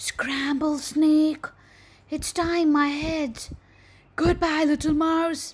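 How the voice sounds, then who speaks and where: The speaker uses a put-on character voice with a high pitch. Delivery is very slow, with long, frequent pauses. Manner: coaxing, then frightened.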